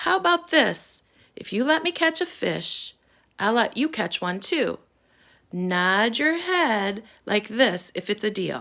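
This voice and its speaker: A woman uses a put-on, raspy character voice with a fairly high pitch. She talks at a fairly slow pace, her pitch swinging very widely. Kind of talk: bedtime story. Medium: read story.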